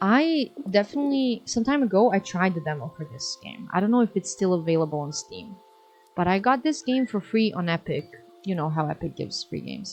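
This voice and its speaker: A woman at a medium pitch, fairly quick pace and very wide pitch swings. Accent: Serbian. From Serbia. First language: Serbian. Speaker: streamer. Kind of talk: casual chat.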